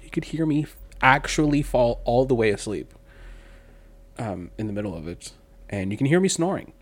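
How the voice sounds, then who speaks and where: Vocal fry runs through this man's voice as his pitch swings very widely. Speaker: podcast host. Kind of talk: casual chat. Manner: soft-spoken, quiet on mic.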